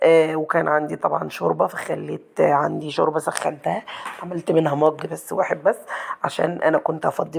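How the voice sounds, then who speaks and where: A woman speaks with an Egyptian accent. Noticeable background noise is present. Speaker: cooking channel host. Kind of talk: cooking tutorial. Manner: fast.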